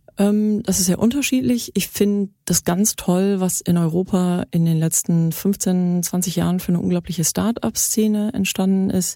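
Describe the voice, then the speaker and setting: A woman with a dark, mellow tone at medium pitch talks fairly slowly with hardly any pauses and ordinary pitch variation, in a very clean recording with a silent background and a dry, close sound with no echo. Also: very even loudness. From Germany. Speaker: startup founder, former media executive. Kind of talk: interview.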